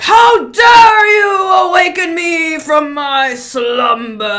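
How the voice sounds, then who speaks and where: Someone shouts in a put-on character voice at a very slow pace. Light background noise is present. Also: man, extremely high pitch for a man. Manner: commanding, angry at being woken.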